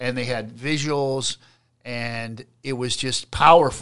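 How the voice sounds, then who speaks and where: A man with a plain, everyday voice, of medium pitch, speaks with fairly even intonation over a quiet background. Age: 50s. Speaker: state politician. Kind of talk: casual interview.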